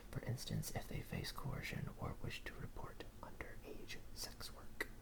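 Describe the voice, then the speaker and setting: Someone is whispering. There is noticeable noise in the background. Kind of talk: ASMR book reading in a whisper. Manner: whispered, soft.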